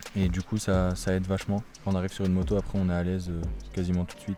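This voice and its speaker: Music plays behind a man who talks at a very fast pace. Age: 20s. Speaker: motocross rider. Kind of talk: documentary interview. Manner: casual, with hesitations.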